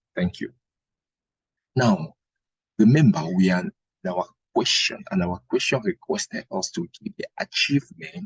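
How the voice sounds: This man speaks at a fairly slow pace with vocal fry and a slightly husky edge, his pitch swinging very widely between long, frequent pauses. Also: dry, close sound with no echo.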